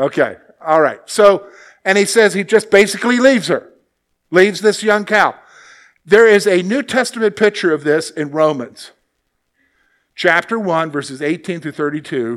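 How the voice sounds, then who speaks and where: Pausing long and often, a man with a high voice talks at a moderate pace with lively intonation on a very clean recording over a silent background. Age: 50s. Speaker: Bible teacher. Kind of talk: Bible study lesson. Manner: conversational, with frequent okay and all right.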